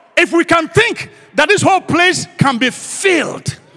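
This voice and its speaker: An extremely high-pitched man with an animated tone amid noticeable background noise. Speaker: guest preacher. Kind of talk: sermon. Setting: church. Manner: animated, repetitive call-and-response preaching; rhetorical, emphatic repetition.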